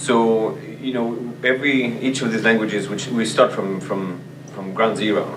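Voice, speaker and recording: With a French accent, a man speaks at a fairly low pitch with fairly even intonation, over noticeable background noise and audible room echo. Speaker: language teacher and department chair. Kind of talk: interview. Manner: halting, many fillers and repeats.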